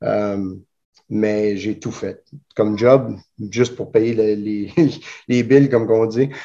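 Speaking at a very slow pace with long, frequent pauses, a man uses a medium pitch, a dark, mellow tone and fairly even intonation. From Elmer. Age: 40s. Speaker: jiu-jitsu instructor. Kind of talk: interview. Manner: halting.

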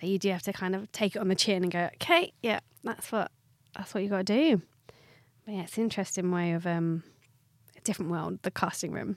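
A woman of medium pitch talks very fast with a southern English accent and fairly even intonation, leaving long, frequent pauses. The recording is very clean with a silent background and a dry, close sound with no echo. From Watford, south England. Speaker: podcast co-host and actor. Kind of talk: casual chat. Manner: chatty, laughing.

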